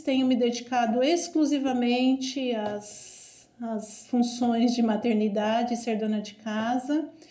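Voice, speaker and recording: A woman speaks with a high pitch at a very slow pace, with hardly any pauses. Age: 40s. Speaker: nurse and mother. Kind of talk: family conversation.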